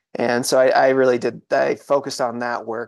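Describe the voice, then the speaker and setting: A man with an American accent speaks at a medium pitch in a monotone, flat way. His pace is fairly slow, over a quiet background. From New England, outside Boston. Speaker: plant medicine integration specialist. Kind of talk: interview conversation. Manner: halting, many fillers and repetitions.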